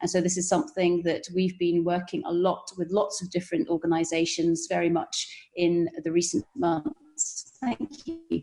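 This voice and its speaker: With a British accent, a woman talks at a moderate pace and a fairly low pitch, leaving hardly any pauses. Her pitch variation is ordinary, and music plays in the background. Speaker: risk management consultant. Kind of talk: panel discussion.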